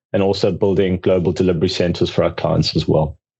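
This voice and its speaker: A man speaks with a South African accent and ordinary pitch variation. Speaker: accounting outsourcing firm founder. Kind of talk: podcast interview.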